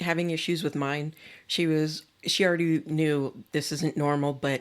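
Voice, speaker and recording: In an American accent, a woman speaks with a very deep, low pitch and monotone, flat intonation. The recording is very clean, with a silent background. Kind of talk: podcast interview.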